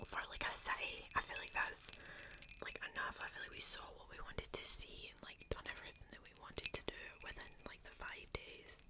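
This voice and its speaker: Someone whispers in a relaxed tone at a fairly quick pace. Background noise is noticeable. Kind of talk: casual talk to camera, ASMR video. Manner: soft-spoken, whispery, relaxed.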